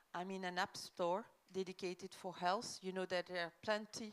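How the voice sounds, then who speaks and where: With a French accent, the speaker goes at a fairly slow pace. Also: woman. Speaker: government official. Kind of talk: conference presentation. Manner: hesitant, many fillers.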